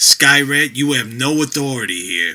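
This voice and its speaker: A man puts on a character voice at medium pitch. The sound is raspy. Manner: stern, authoritative.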